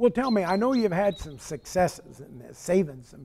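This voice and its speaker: At a fairly quick pace, a man speaks in a normal speaking voice with lively intonation. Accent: American. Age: 60s. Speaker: TV talk show host. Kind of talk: casual interview. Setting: porch.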